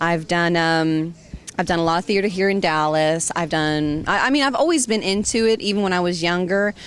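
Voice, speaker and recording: A woman talks at a fairly quick pace with a slight Southern US accent. Her pitch sits fairly low. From Georgia, US South. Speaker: voice actress. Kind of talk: interview. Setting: fan convention. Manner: animated.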